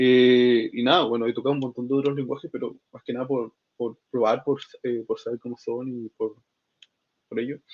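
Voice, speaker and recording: A man with a medium pitch speaks in a monotone, flat intonation at a moderate pace. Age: 20s. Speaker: software developer and student. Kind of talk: casual interview. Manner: halting, many fillers.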